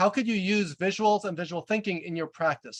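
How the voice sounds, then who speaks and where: A loud male voice with a slight New York accent and ordinary pitch variation, in a dry, close sound with no echo. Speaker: leadership coach and author. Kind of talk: webinar presentation. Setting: video call. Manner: fast.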